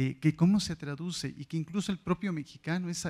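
With little noise behind him, the man speaks at an even, middling speed and shifts pitch in a usual way. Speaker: audience member, teacher. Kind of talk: audience question. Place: hall. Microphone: handheld.

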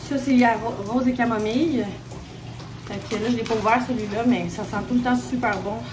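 With noticeable background noise behind her, a woman speaks at a moderate pace in a fairly high pitch. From Quebec. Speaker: vlogger. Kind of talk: casual vlog talk to camera. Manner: animated. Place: bathroom. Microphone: phone near.

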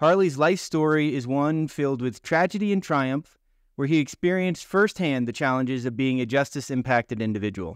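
A man with a normal speaking voice talks at a fairly quick pace, his fairly high pitch carrying lively intonation. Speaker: podcast host. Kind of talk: casual interview.

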